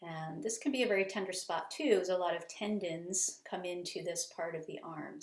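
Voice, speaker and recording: A woman with a medium pitch talks at a fairly quick pace, her intonation lively. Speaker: bodywork and shiatsu teacher. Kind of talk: tutorial. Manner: halting, self-correcting.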